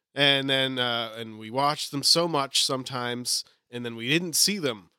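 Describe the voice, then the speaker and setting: The man's tone is bright and sharp. He speaks at a moderate pace. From New England. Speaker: podcast co-host. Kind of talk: casual chat.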